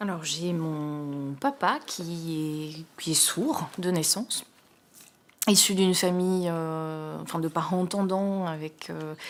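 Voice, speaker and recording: A woman talks at a very slow pace in a fairly low pitch, with ordinary pitch variation. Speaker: sign language interpreter. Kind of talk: testimony. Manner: halting, many hesitations.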